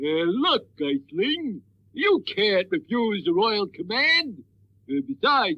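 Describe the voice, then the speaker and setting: This is a cartoonish character voice, fairly high in pitch with very wide pitch swings. It moves at a fairly slow pace. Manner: hesitant, stammering with uh.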